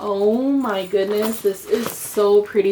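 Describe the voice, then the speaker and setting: Soft-spoken, a woman talks at a medium pitch. Noticeable background noise is present. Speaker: beauty vlogger. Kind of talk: casual product unboxing. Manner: quiet, soft-spoken; animated.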